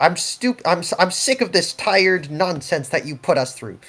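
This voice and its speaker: A man whispers in a put-on character voice at a moderate pace. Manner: whispering, annoyed.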